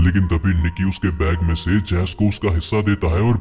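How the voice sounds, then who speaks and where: Clear background noise sits behind the speaker. A man with a very deep, low pitch talks at a fairly quick pace. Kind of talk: movie recap voice-over. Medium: solo performance. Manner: fast, conversational.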